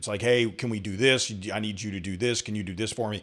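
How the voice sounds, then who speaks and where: With a Southern US accent, a man talks at a fairly quick pace and ordinary pitch variation in a very clean recording with a silent background. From US South/Southeast. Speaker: tech show host. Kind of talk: interview conversation.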